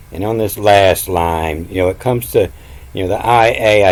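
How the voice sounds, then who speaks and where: This man moves through his words at a fairly slow pace, his pitch varying in an ordinary way. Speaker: self-taught esoteric Bible teacher. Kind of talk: video lecture. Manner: hesitant, filler-heavy.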